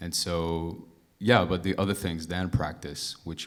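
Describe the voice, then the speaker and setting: There is audible room echo as a man talks at a fairly slow pace in a very deep, low voice. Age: 20s. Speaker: audience member, student drummer. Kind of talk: audience question. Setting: stage with audience. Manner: halting.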